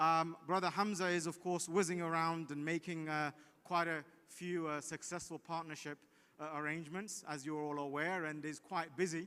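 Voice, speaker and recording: Loud and bright with a sharp tone, a man's fairly high voice holds a monotone, flat intonation at a moderate pace. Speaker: legal division head. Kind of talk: prize announcement speech. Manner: hesitant, many fillers.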